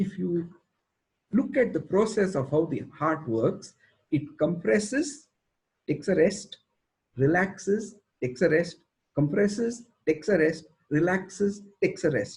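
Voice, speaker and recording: With lively intonation and a high pitch, a man talks at a fairly slow pace, leaving long, frequent pauses. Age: 60s. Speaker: school educator. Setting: video call.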